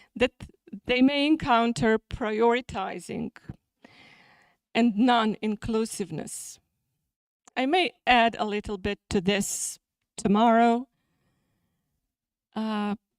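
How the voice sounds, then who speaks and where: A woman with a Serbian accent speaks at a very slow pace and a fairly high pitch, with ordinary pitch variation and long, frequent pauses. The recording is very clean and silent behind her, dry and close with no echo. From Serbia (Niš). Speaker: journal editor and academic. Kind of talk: conference talk. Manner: halting.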